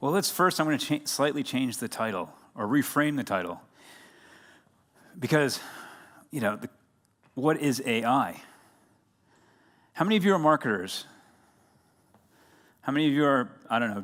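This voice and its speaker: An energetic man with an American accent, fairly high in pitch, with lively intonation, a moderate pace, long, frequent pauses, and a very clean recording with a silent background. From United States. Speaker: conference speaker. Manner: energetic, engages audience.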